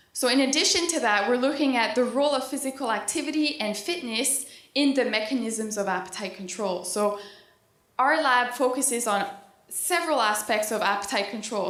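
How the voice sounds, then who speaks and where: A woman at a moderate pace, her fairly high pitch showing ordinary variation, in audible room echo. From East Coast Canada. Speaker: PhD student and dietitian. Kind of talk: conference presentation. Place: hall. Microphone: handheld.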